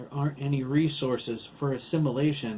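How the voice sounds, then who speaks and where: Using a put-on character voice, a man talks at a fairly quick pace and a fairly high pitch. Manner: strained, robotic.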